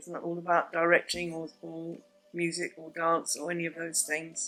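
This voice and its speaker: Monotone, flat intonation meets big swings in loudness as music plays in the background. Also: woman, fairly low pitch for a woman, moderate pace. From southern England, Sussex coast (Worthing). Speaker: theatre director and teacher. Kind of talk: interview answers.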